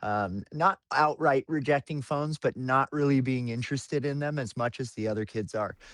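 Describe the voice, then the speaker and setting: Speaking at a moderate pace in an American accent, a man with an ordinary speaking voice is heard in a dry, close sound with no echo. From Colorado, Longmont. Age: 30s. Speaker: home cannabis grower and hash maker. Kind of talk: casual podcast conversation. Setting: podcast interview. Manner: casual, filler-heavy.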